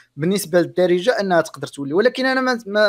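A man's moderately paced speech, captured on a very clean recording with a silent background. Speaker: YouTuber. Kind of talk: casual interview.

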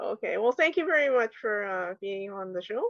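A woman's medium-pitched voice at a moderate pace, with lively intonation and an unremarkable speaking voice. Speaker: podcast host. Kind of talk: interview.

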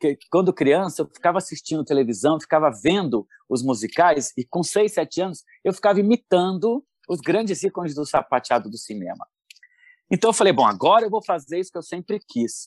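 A high-pitched man with a São Paulo accent, very wide pitch swings and a fairly quick pace, in a dry, close sound with no echo against a quiet background. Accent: Paulistano Brazilian Portuguese. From São Paulo state, Brazil (São Paulo city and Campinas). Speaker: professional tap dancer and dance teacher. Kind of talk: interview.

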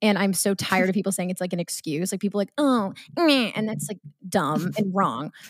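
Recorded very cleanly with a silent background and a dry, close sound with no echo, a woman speaks in an American accent at a medium pitch with ordinary pitch variation. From Massachusetts, Marblehead (near Salem). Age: 20s. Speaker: content creator and podcaster. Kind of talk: casual chat.

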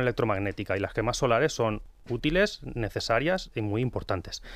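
Speaking at a moderate pace, a man uses a normal speaking voice with a medium pitch and lively intonation. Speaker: pharmacist and book author. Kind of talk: radio interview. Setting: radio studio.

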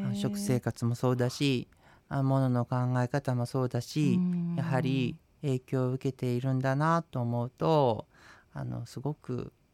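A man's medium-pitched voice, an ordinary speaking voice, with fairly even intonation and a fairly slow pace. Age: 40s. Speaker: Buddhist priest and radio co-host. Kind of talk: casual radio talk.

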